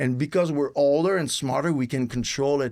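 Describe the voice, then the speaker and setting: A man speaks in a Quebec French accent with a fairly high voice at a fairly slow pace. The recording is very clean, with a silent background. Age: 40s. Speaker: retired pro wrestler. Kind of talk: casual chat.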